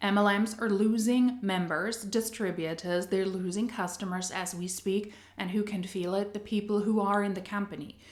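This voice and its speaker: A woman's medium-pitched voice at a moderate pace, with fairly even intonation, hardly any pauses and audible room echo. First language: not English. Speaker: anti-MLM commentary youtuber. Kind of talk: video commentary.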